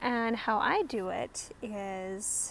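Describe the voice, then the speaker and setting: With a Russian accent, a woman speaks in a fairly high voice with ordinary pitch variation. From Kazakhstan and Germany. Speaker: business coach. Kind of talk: tutorial. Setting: outdoors on a deck. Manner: casual, halting with fillers.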